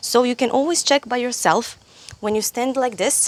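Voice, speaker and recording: A woman with a Croatian accent speaks in a high pitch. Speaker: yoga teacher. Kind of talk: tutorial. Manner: halting.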